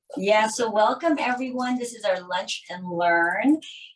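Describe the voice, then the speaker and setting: With lively intonation, a woman talks at a medium speed. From immigrant to the US, came at about 13. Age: 50s. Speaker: dermatologist. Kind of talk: educational presentation. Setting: live stream in clinic.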